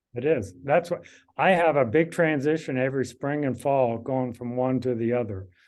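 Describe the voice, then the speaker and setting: A man speaks at a moderate pace with a Midwestern US accent. His pitch is medium, with ordinary pitch variation. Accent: US Midwest. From Kansas. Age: 60s. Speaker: amateur cyclist. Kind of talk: casual interview.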